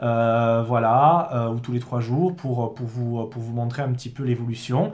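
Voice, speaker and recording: Noticeable background noise runs under the audio. The man's speech keeps a moderate pace. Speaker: product distributor. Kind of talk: product explainer video. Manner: halting, many fillers.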